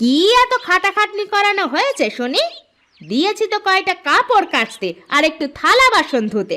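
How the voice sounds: Cartoonish character voice from a woman, extremely high in pitch, with big pitch swings, a bright, sharp tone and a moderate pace.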